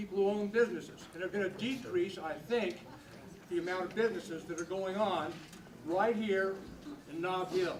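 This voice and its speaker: With noticeable background noise and audible room echo, a man talks at a moderate pace with ordinary pitch variation. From New Mexico, Albuquerque. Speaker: retired accountant, local resident. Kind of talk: public comment. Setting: church hall public meeting.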